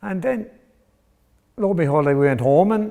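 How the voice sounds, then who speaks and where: Speaking at a moderate pace, a man with an Irish accent has a fairly high pitch and lively intonation. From Ireland, County Wexford (Enniscorthy). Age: 60s. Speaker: boxing coach. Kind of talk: interview testimony.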